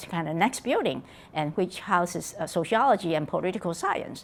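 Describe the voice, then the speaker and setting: Spoken in a Taiwanese accent at a fairly quick pace. The intonation is lively. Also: woman. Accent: Taiwanese Mandarin-accented English. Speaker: political science professor. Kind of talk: oral history interview. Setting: conference venue. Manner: halting.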